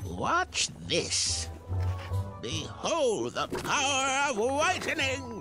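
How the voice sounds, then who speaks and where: A man uses a put-on character voice at a very slow pace, with clear music in the background. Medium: machinima.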